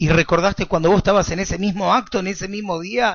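With a Rioplatense accent, a man speaks in a high voice with fairly even intonation. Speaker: rabbi. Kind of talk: lecture.

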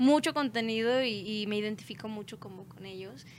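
A woman speaks in a normal speaking voice. Her pitch is fairly high and her intonation fairly even. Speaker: band musician. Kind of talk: casual chat.

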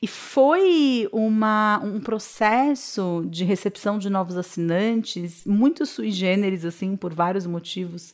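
Speaking very slowly with hardly any pauses, a woman uses a medium pitch with ordinary variation. The recording is very clean with a silent background. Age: 30s. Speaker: podcast host. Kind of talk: personal reflective monologue.

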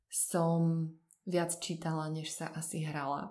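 A woman's voice is heard with audible room echo. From central Slovakia, Podpoľanie region. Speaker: translator. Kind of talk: casual interview.

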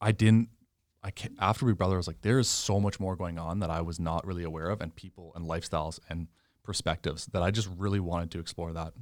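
A man with a Canadian prairie accent talks at a very fast pace in a very deep, low pitch with fairly even intonation. The recording is very clean with a silent background. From Canada, Saskatchewan. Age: 20s. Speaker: medical student and former reality TV contestant. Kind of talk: casual interview. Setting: in-person studio.

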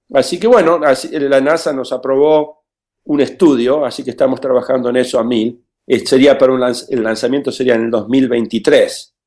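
Speaking at a medium pitch, a man keeps a moderate pace and fairly even intonation. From Argentina, Buenos Aires. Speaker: aerospace engineer. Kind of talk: interview. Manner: halting, many fillers.

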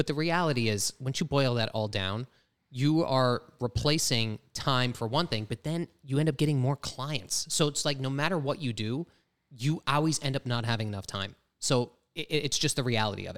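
An unremarkable speaking voice with an American accent moves at a fairly quick pace with ordinary pitch variation. The sound is dry and close with no echo. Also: man. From Pennsylvania. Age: 30s. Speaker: real estate team leader. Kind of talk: casual chat.

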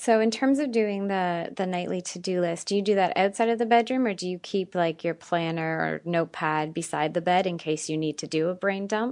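An unremarkable speaking voice at a fairly quick pace, ordinary pitch variation and hardly any pauses, in a quiet background. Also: woman, medium pitch for a woman. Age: 30s. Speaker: podcast host. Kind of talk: casual chat.

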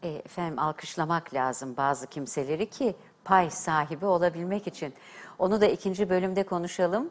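Fairly low in pitch with ordinary pitch variation, the woman speaks in a plain, everyday voice. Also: moderate pace. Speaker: TV host and diction teacher. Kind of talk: TV talk show hosting. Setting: TV studio. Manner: formal.

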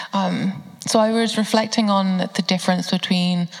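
A woman's medium-pitched voice in a monotone, flat delivery, with noticeable background noise. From southern England, Bedfordshire. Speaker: university student. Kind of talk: panel discussion. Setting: church service.

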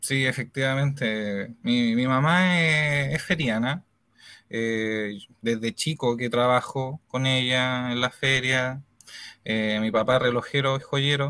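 A man speaks at a very slow pace with a medium pitch and ordinary pitch variation. His tone is bright and sharp. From Chile, Santiago (Puente Alto). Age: 30s. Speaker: innovation analyst, client giving testimony. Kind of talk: testimony interview.

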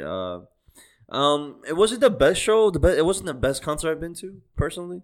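A man with a non-native accent speaks at a fairly quick pace with big swings in loudness, on a very clean recording with a silent background. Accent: foreign-accented English. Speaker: podcast co-host. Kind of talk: casual banter, profane. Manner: laid-back, joking.

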